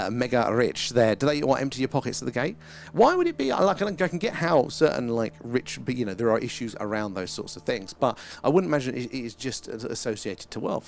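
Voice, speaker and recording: A man talks at a fairly quick pace with lively intonation and a medium pitch. He has an unremarkable speaking voice. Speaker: livestream host, stargazing.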